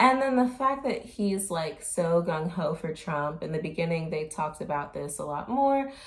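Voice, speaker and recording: Somewhat breathy, fairly low-pitched female voice at a moderate pace, with very wide pitch swings, hardly any pauses and audible room echo. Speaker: commentary vlogger. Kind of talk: casual commentary vlog. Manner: hesitant, many fillers.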